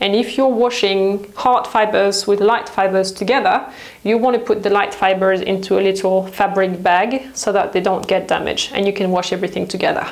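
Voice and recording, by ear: A woman speaks at a moderate pace with a medium pitch, fairly even intonation and few pauses, her voice carrying audible room echo.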